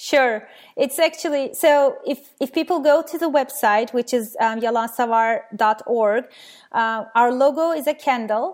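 With a Turkish accent, a woman speaks at a fairly slow pace. Her high pitch shows ordinary variation. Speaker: skeptical blogger and science educator. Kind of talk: interview. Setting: remote call.

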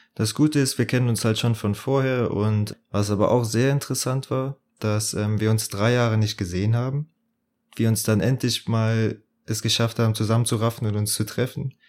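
An ordinary speaking voice moves at a moderate pace with fairly even intonation. The recording is very clean, with a silent background. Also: man. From southwestern Germany, Bitburg (Eifel). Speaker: podcast co-host, psychology student. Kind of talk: casual chat.

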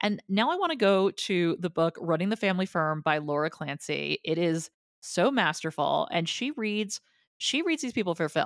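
A woman with a New Jersey accent speaks at a moderate pace, her medium pitch carried by lively intonation. The recording is very clean with a silent background and a dry, close sound with no echo. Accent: mild New Jersey. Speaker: podcast co-host. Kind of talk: casual chat.

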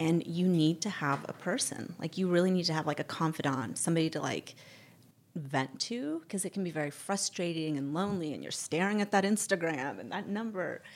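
On a very clean recording with a silent background, a woman uses a plain, everyday voice at a fairly low pitch, talking at a fairly quick pace with ordinary pitch variation. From born in Barcelona, raised mostly in the US. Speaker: fashion influencer. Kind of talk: casual interview.

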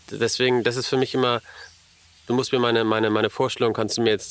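Noticeable background noise behind very fast talking with fairly even intonation. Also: man, very even loudness. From Elmshorn, northern Germany. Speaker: businessman. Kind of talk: casual chat.

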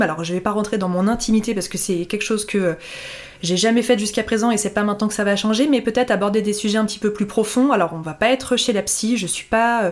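Someone talks at a very fast pace with ordinary pitch variation over noticeable background noise. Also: woman. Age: 30s. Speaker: blogger and podcast host. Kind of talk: solo podcast monologue. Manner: casual, hesitant with fillers.

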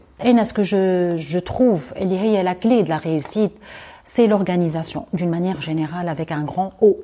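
A woman speaks at a moderate pace with a medium pitch. Her tone is dark and mellow, with ordinary pitch variation. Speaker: university lecturer and youth coach. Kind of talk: interview.

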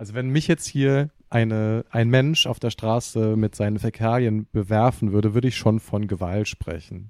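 This is a plain, everyday voice at a moderate pace, with hardly any pauses and ordinary pitch variation. The sound is dry and close, with no echo. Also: man, medium pitch for a man. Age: 20s. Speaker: stage actor. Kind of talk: casual chat.

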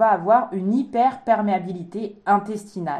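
A woman with a non-native accent speaks in a dark, mellow tone at a fairly high pitch. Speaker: naturopath podcast co-host. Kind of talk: casual chat.

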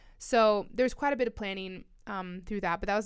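A woman with a General American accent talks in a plain, everyday voice at a fairly quick pace with lively intonation, on a very clean recording with a silent background. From Colorado. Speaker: trail runner and mountain athlete. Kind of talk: casual interview. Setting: studio.

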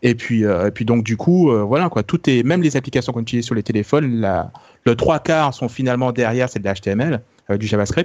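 A normal speaking voice moves at a fairly quick pace with ordinary pitch variation against a quiet background. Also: man, medium pitch for a man. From France. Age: 30s. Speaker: tech podcast co-founder. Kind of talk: casual chat.

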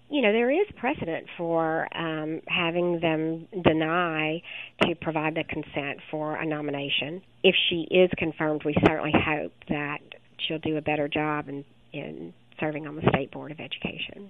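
A woman talks at a moderate pace with a very deep, low pitch and fairly even intonation. Her loudness swings widely. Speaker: education advocacy director. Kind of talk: interview.

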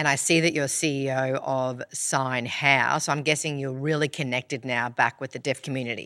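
With hardly any pauses, a woman with a strong Australian accent speaks at a moderate pace in a very deep, low pitch, her tone bright and sharp and her intonation monotone and flat. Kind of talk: casual chat.

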